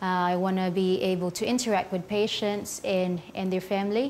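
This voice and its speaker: Speaking with a Filipino accent, a woman keeps a moderate pace and fairly even intonation. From Philippines. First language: Filipino language. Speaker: neonatal nurse. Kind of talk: interview. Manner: quiet demeanor.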